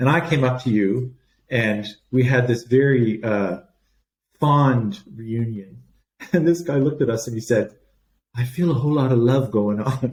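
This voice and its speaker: A man with a Canadian accent speaks at a medium pitch and a moderate pace, sounding somewhat breathy. His pitch varies in an ordinary way, and he leaves long, frequent pauses. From Canada. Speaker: palliative care doctor. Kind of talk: podcast interview.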